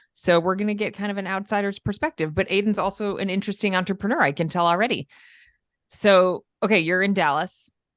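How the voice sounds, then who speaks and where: Against a quiet background, a woman with an upstate New York accent talks at a very fast pace and medium pitch with ordinary pitch variation, the sound dry and close with no echo. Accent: upstate New York, mild. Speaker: podcast host. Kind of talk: casual interview chat.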